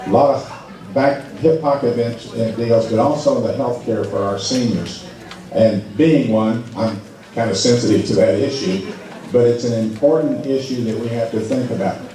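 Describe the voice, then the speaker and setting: Through noticeable background noise and audible room echo, a man speaks at a medium pitch and moderate pace with ordinary pitch variation. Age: 60s. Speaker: political candidate. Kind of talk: town hall speech. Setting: ballroom town hall with audience.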